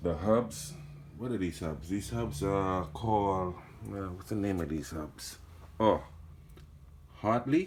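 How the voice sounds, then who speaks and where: A man with a Trinidadian accent and a very deep, low pitch speaks at a very slow pace, somewhat breathy and with lively intonation, taking long, frequent pauses amid audible room echo. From Trinidad and Tobago. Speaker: mountain biker. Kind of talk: casual bike check video. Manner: casual, self-correcting.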